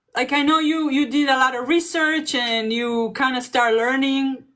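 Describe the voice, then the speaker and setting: A woman with a non-native accent speaks at a fairly slow pace in a high pitch. Her tone is bright and sharp, with ordinary pitch variation. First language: not English. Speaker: online business coach. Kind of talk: casual chat. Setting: livestream.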